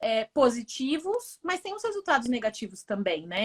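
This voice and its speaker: A woman's high voice moves along at a moderate pace. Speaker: business professor. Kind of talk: interview conversation.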